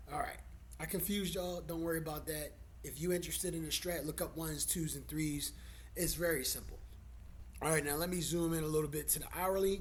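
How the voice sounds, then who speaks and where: Audible room echo surrounds a man who talks at a very fast pace in a fairly high pitch, with monotone, flat intonation. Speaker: stock trader. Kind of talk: tutorial. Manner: casual, profane.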